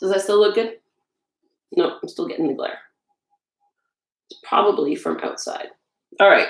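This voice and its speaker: The speaker moves at a moderate pace. Long pauses come often. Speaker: home baker and blogger. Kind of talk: casual cooking livestream. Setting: home kitchen. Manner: loud.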